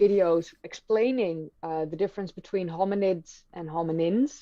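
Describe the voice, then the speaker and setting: With a Dutch accent, a woman speaks in a fairly low pitch with ordinary pitch variation. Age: 30s. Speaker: history YouTuber. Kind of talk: live stream conversation. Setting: live stream.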